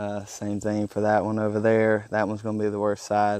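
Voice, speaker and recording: Fairly low in pitch and fairly slow, a man talks in a strong Mississippi accent over a quiet background. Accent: heavy Mississippi Southern. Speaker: pressure washing business owner, vlogger. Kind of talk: casual vlog narration. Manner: halting, many fillers.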